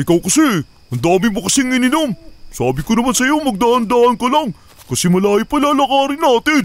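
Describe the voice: A man puts on a cartoonish character voice at an extremely high pitch. His intonation is lively and his pace fairly quick.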